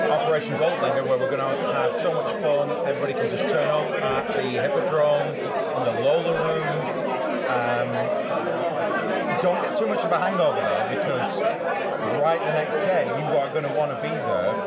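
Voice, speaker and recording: A man speaks at a moderate pace while crowd noise fills the background. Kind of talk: interview answer. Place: hall. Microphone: lapel.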